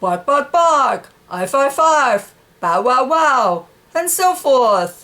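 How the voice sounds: A woman performs a cartoonish character voice pitched high. She speaks slowly, with big pitch swings. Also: fairly bright tone.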